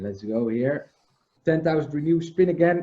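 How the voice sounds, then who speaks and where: A man with a non-native accent, at a moderate pace. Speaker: livestream host. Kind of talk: casual chat. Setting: video call.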